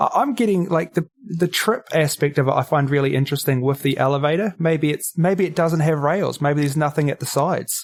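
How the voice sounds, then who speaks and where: With a New Zealand accent, a man speaks at a fairly quick pace and fairly high pitch, with ordinary pitch variation and hardly any pauses. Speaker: comedy podcaster. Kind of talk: casual chat.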